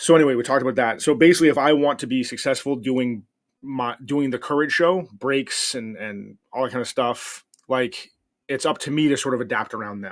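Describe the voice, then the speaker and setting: The recording is very clean, with a silent background. A man speaks fairly quickly at medium pitch, with ordinary pitch variation. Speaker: livestreamer. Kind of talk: casual chat. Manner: loud; halting.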